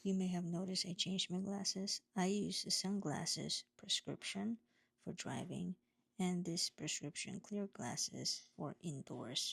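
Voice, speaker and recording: Speaking at a fairly slow pace, a woman uses a fairly low pitch with ordinary pitch variation and vocal fry. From Philippines. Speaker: home care nurse and vlogger. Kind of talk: vlog narration.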